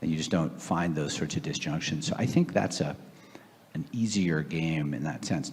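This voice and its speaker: A man with an American accent, his pitch very deep and low, with ordinary pitch variation, a fairly quick pace and audible room echo. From US Northeast, Boston area. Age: 60s. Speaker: private equity investor and author. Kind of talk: onstage Q&A interview. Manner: hesitant, many fillers.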